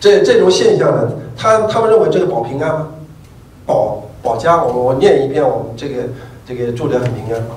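A man's lively intonation carries through audible room echo. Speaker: professor. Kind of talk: lecture. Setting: stage with audience. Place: hall.

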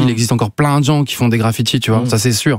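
There is no echo in this dry recording, and the background stays quiet. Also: man. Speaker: visual artist, photographer; guest. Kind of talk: interview. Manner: halting, many fillers. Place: studio. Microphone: studio mic.

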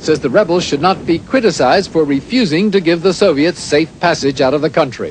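A man talks at a fairly high pitch. He has an unremarkable speaking voice. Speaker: TV news correspondent. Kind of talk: 1980s TV news report, scripted broadcast narration. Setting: recorded news broadcast. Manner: formal, measured and authoritative, brisk even delivery; crisp, clipped newsreader cadence with steady neutral tone.

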